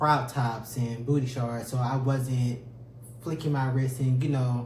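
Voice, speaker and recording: In a room with audible echo, a man speaks at a fairly slow pace with monotone, flat intonation. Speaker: podcast co-host. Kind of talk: casual chat.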